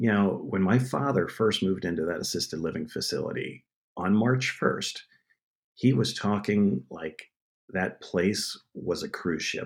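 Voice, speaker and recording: In an American accent, a man uses an ordinary speaking voice, fairly low in pitch. He talks at a fairly slow pace with lively intonation. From Pennsylvania. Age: 50s. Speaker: TV producer. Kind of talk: casual chat.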